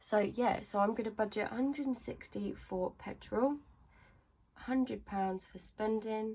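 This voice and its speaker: A woman with a southern English accent speaks at a fairly slow pace, her voice fairly high, somewhat breathy and dark and mellow in tone, with fairly even intonation. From southern England. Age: 20s. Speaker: budgeting vlogger. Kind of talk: casual tutorial.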